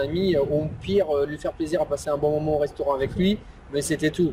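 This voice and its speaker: Over noticeable background noise, a man talks at a fairly quick pace in a fairly high pitch, his intonation monotone and flat. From Bordeaux, France. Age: 30s. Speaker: interviewer, online entrepreneur. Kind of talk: interview. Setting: outdoors by a lake. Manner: hesitant, many fillers.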